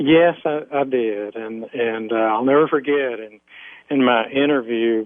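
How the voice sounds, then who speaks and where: A man's medium-pitched voice with a Southern US accent and fairly even intonation. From US South, Alabama. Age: 50s. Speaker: former police officer. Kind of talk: interview testimony.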